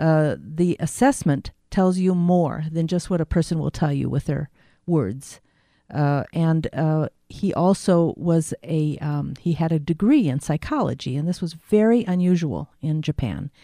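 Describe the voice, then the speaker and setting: A woman speaks in a very deep, low voice with a dark, mellow tone, at a fairly slow pace with ordinary pitch variation. The sound is dry and close with no echo, over a quiet background. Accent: American. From Chicago. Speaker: shiatsu practitioner and massage instructor. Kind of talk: interview.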